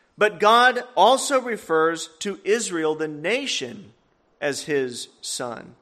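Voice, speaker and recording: A man with a high pitch projects a raised voice at a very slow pace. His tone is bright and sharp, and his pitch swings very widely. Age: 30s. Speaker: guest preacher. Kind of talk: sermon.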